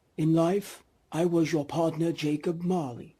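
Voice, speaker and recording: A man's high-pitched, put-on character voice at a moderate pace, on a very clean recording with a silent background. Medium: read story. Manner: solemn, grave.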